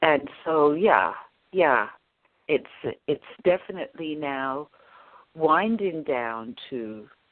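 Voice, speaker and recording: A woman with a very deep, low pitch speaks very slowly, pausing long and often. Her intonation is lively. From England, Watford, Hertfordshire. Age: 60s. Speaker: actress and author. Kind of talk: interview. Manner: hesitant with fillers.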